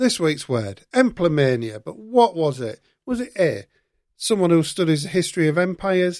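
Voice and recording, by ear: A man's fairly high voice with big pitch swings and a slightly mellow tone, on a very clean recording with a silent background.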